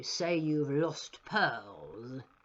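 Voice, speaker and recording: A put-on character voice at a middle pitch with a menacing tone. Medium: read story. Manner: oily, falsely polite, menacing.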